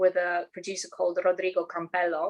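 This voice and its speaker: A woman with a Russian accent, medium pitch and moderate pace. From Ukraine, Odessa. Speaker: singer-songwriter. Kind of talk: interview.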